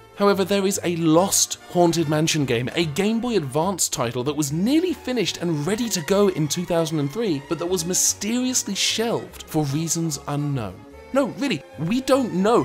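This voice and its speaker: Over music in the background, a man with a British accent speaks at a moderate pace in a high pitch, with lively intonation and hardly any pauses. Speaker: game reviewer. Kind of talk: comedic game review narration. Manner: dry, sarcastic.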